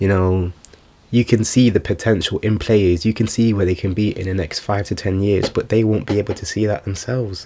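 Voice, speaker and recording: At a moderate pace, a shaky voice with a dark, mellow tone keeps its intonation fairly even. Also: man. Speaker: vlogger. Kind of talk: casual monologue.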